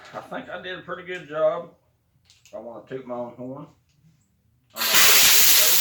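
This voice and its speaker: A man with a Southern US accent, fairly high pitch, ordinary pitch variation and long, frequent pauses, in audible room echo. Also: moderate pace, big swings in loudness. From Alabama, US South. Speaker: furniture painter, DIY channel host. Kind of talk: tutorial. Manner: casual, folksy.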